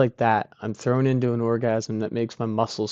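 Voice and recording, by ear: Someone reads aloud here in a natural voice.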